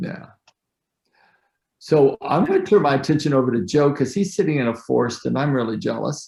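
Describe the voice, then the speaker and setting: A man with a fairly high pitch and a dark, mellow tone speaks at a fairly quick pace, with vocal fry. His pitch varies in an ordinary way, broken by long, frequent pauses. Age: 60s. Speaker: mastermind group leader. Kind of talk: casual chat.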